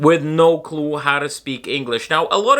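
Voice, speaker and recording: A man speaks in a raised, projected voice at a moderate pace. His tone is bright and sharp. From Ireland (Dublin area), born in Moscow. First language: Russian. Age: 20s. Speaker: vlogger. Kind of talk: casual vlog monologue.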